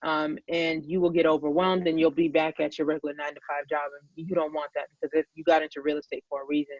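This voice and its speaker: A woman talks at a fairly quick pace with an American accent. Her very deep, low pitch stays monotone and flat. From Boston, Massachusetts. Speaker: real estate agent. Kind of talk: interview.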